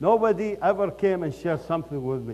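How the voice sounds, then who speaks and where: A man with an Iraqi accent at a fairly quick pace, his pitch swinging very widely. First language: Arabic. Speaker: company founder and CEO. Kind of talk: motivational speech. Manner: animated.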